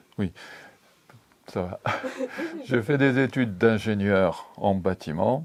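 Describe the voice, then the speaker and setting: Very slow male speech broken by long, frequent pauses, over noticeable background noise. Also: fairly low pitch for a man, ordinary pitch variation. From Algeria (Algiers), French pied-noir. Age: 80s+. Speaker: retired building engineer. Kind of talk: interview testimony. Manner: halting.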